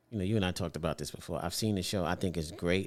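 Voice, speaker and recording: On a very clean recording with a silent background, a man with a very deep, low pitch and a New York accent speaks with fairly even intonation. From Brooklyn, New York. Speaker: podcast host. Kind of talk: interview.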